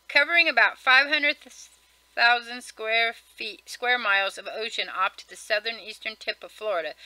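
Recorded dry with no echo, a woman speaks at a fairly high pitch with very wide pitch swings. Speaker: vlogger. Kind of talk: casual reading aloud of a list article with comments. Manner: fast. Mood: casual, mildly wry. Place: home room. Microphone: webcam.

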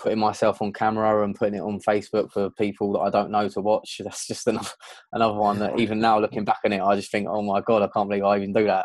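Over a quiet background, a man talks very fast at a fairly low pitch, the sound dry with no echo. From southern England, outside London. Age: 20s. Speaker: events sound and lighting technician; podcast guest. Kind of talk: interview. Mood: candid, reflective, lightly amused. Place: home room. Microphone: earbuds.

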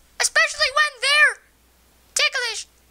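Here a woman puts on a character voice. The sound is squeaky. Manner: menacing, mocking, theatrical.

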